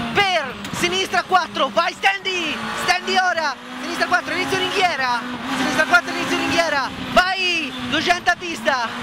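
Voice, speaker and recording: The sound is dry with no echo, the pace is fairly slow, and loud background noise runs underneath. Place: car. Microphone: headset.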